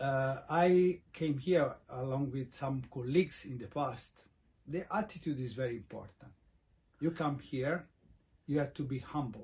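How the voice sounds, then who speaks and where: A man's fairly high, somewhat breathy voice with an Italian accent, ordinary pitch variation and a fairly slow pace. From Italy. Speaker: expat vlogger. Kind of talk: casual talk to camera. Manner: halting, many fillers.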